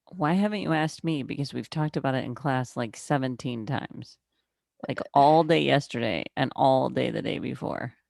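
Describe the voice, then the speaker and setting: In a very deep, low pitch touched with vocal fry, a woman speaks with lively intonation. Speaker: math instructor. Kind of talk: oral exam with student over video call. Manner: fast.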